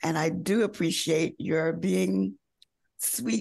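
Very slowly, a woman talks. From US South, North Carolina. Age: 70s. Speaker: fashion model. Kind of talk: interview.

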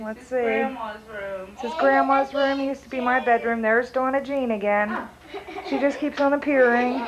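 This woman's voice sits high in pitch, and her intonation stays fairly even at a moderate pace. Background noise is noticeable. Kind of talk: casual home video narration. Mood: nostalgic, lightly amused. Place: home room. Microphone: old recording.

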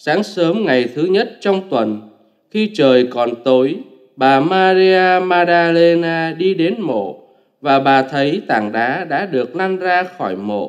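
Slow and lively in intonation, a man talks. His voice sits fairly high.

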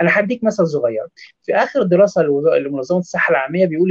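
The recording is dry and free of echo. A man talks with a quiet background behind him. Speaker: nutrition specialist doctor. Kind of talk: expert interview. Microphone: webcam.

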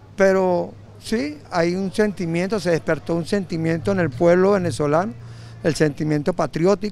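Music plays in the background while the voice moves at a fairly slow pace with ordinary pitch variation. The sound is dry, with no echo. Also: man. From Venezuela. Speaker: citizen interviewed on the street. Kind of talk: street interview. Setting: outdoors on the street. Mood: earnest, patriotic. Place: street. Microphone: handheld.

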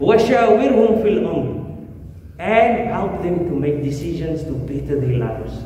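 A man with a high pitch speaks at a fairly slow pace, swinging very widely in pitch. Strong room echo and light background noise fill the recording. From South Africa. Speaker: imam. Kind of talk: sermon. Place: church.

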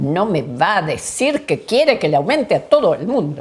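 A woman's fairly slow delivery with very wide pitch swings. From Argentina, Bariloche (Patagonia); Argentina. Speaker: health statistician. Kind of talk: oral history interview. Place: home room.

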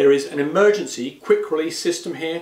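A man's voice is heard with audible room echo. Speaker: presenter. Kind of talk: product review presentation. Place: studio.

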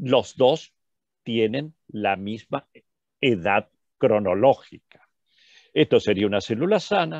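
In a dry, close sound with no echo and a quiet background, a man speaks very slowly at a fairly low pitch with lively intonation. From Argentina. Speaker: physician lecturer. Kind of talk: lecture.

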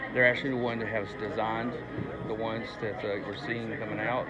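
Loud background noise fills the clip. Over it, a man talks. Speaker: collector vlogger. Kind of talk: casual vlog chat. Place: hall. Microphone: earbuds.

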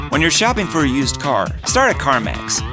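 A man's voice with clear music in the background. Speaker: voice actor. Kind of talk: commercial read. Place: booth. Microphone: studio mic.

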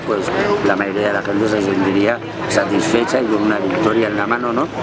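A man's fairly low voice over loud background noise. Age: 50s. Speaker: activist on hunger strike. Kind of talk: protest statement interview. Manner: halting, many fillers. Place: street. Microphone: phone near.

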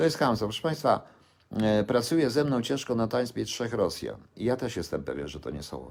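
Talking at a fairly quick pace, a man with medium pitch and vocal fry is heard in a very clean recording against a silent background. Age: 60s. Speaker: vlogger. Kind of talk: live-stream rant. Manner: halting.

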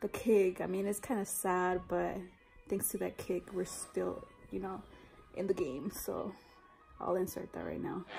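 With faint music in the background, the speech moves at a fairly slow pace broken by long, frequent pauses. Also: woman. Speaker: family vlogger. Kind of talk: casual vlog chat. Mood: relaxed, chatty. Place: home room. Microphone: phone near.

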